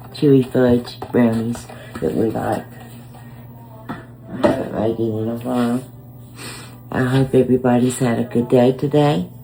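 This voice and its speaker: Over noticeable background noise, a woman with a very deep, low pitch speaks in a flat monotone at a fairly slow pace, leaving long, frequent pauses. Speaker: home cook vlogger. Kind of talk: casual talk to camera.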